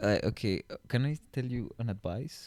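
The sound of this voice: A man with a strong Colombian accent speaks at a moderate pace and medium pitch. His tone is slightly mellow and his intonation lively. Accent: thick Colombian Spanish.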